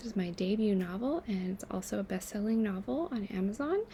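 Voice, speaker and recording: A woman speaks at medium pitch and a fairly quick pace. Her voice is somewhat breathy. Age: 30s. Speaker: writer and mental health activist. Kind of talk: reading aloud; casual chat.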